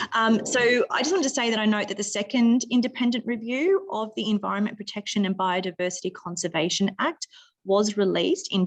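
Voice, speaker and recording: Fairly quick, fairly high-pitched woman with an Australian accent, ordinary pitch variation and hardly any pauses. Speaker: political candidate. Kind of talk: candidate forum answer. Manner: formal.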